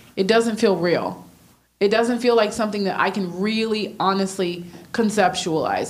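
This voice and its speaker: At a moderate pace, a woman with an unremarkable speaking voice talks at a medium pitch, varying it in an ordinary way. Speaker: church attendee. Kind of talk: casual chat. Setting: stage with audience.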